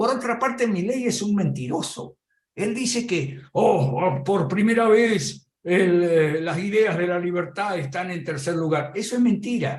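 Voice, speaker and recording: With hardly any pauses, a man talks fairly slowly in a high pitch, his intonation lively. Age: 70s. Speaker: political commentator. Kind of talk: political commentary.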